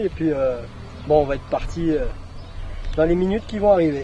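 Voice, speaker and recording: Man's voice amid noticeable background noise. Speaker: student TV presenter doing a street game parody. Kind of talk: outdoor street game parody, casual. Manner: hesitant, many filler sounds.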